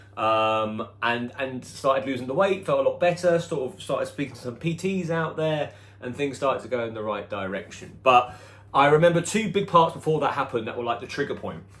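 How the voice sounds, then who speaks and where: Speaking very fast with lively intonation, a man talks in a British accent. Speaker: personal trainer. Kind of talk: personal vlog storytelling. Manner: occasional hesitations and repetitions.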